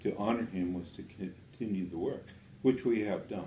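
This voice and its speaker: Audible room echo surrounds a man's voice. His tone is dark and mellow, and somewhat breathy. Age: 80s+. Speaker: natural health doctor. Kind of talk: interview. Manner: hesitant, with frequent fillers.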